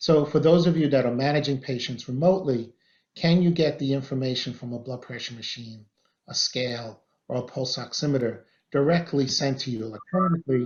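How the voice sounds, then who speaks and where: At a fairly quick pace, the somewhat breathy voice shows ordinary pitch variation and big swings in loudness. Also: man, fairly high pitch for a man. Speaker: physician presenter. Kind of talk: webinar presentation. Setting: virtual webinar. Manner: soft-spoken.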